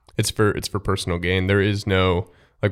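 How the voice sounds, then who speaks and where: A man with a normal speaking voice and a fairly low pitch talks at a moderate pace. The recording is very clean, with a silent background. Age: 20s. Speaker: podcast co-host. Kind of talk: casual chat.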